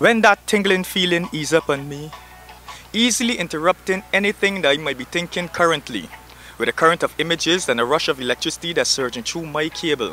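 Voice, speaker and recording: Against music in the background, a man with a fairly high pitch speaks at a fairly quick pace with lively intonation. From Barbados. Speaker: spoken word artist. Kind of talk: spoken word poetry performance.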